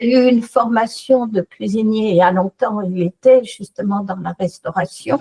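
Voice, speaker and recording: A woman with a fairly high pitch and a dark, mellow, somewhat breathy tone speaks at a fairly slow pace with ordinary pitch variation, in a dry, close sound with no echo. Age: 70s. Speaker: customer giving a testimonial. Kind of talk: testimony. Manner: animated.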